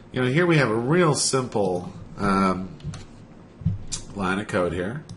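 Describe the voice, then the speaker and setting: At a fairly slow pace, a man with a fairly low voice makes very wide pitch swings amid audible room echo. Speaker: web developer. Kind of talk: tutorial.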